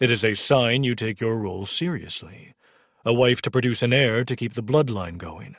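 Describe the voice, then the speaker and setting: At a moderate pace, a man speaks in a put-on character voice with a medium pitch. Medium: read story. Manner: scornful, combative.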